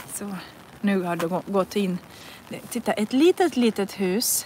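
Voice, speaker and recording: Woman with a Russian accent at a very slow pace, ordinary pitch variation, dry sound with no echo, and light background noise. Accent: Russian-accented Swedish. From northern Russia. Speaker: language teacher. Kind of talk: live language lesson while walking. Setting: outdoors in the rain. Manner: slow, repetitive learner-friendly speech. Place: rain. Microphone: phone near.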